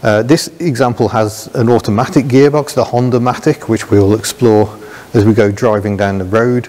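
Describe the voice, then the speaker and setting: A man with a British accent talks at a moderate pace. His loudness stays very even, and his pitch varies in an ordinary way. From England. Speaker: motoring video presenter. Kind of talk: car review presentation. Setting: on location with cars, partly in car. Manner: enthusiastic, animated. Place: hall.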